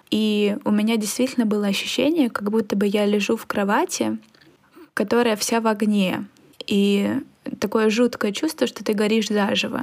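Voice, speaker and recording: This woman talks at a moderate pace with a fairly high pitch and fairly even intonation. She leaves long, frequent pauses, and background noise is noticeable. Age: 20s. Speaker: psychology student and podcast co-host. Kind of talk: casual chat.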